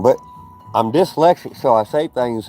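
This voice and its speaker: A man with a Southern US accent speaks in a dark, mellow tone with lively intonation. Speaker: outdoor cooking livestreamer. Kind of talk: casual live stream chat. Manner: loud; animated.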